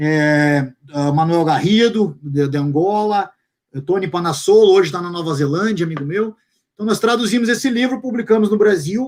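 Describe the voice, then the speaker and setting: With long, frequent pauses, a man speaks at a fairly slow pace and a high pitch. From Brazil, Curitiba. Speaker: fitness coach and translator. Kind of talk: casual chat.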